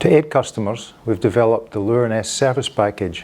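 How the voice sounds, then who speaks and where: The pace here is fairly quick. It belongs to a man with a Scottish accent. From Scotland. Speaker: industry presenter. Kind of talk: corporate presentation. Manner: formal.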